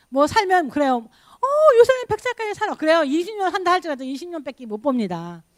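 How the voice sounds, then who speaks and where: Swinging very widely in pitch, a woman speaks at a fairly quick pace. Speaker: pastor. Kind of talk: sermon. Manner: animated.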